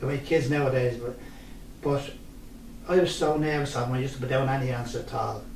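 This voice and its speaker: A man's fairly even, medium-pitched voice in a Dublin accent, very fast yet broken by long, frequent pauses, with audible room echo and noticeable background noise. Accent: Dublin Irish. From Ireland, Dublin (Ballyfermot). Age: 70s. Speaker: local resident sharing memories. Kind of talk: interview, personal reminiscence.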